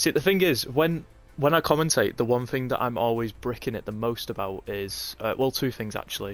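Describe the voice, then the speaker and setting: A man with a northern English accent speaks with lively intonation. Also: medium pitch for a man, fairly quick pace, very clean recording, silent background. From Northern England. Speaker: esports race commentator. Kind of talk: live commentary and casual chat with stream chat. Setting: livestream. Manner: casual, halting with fillers.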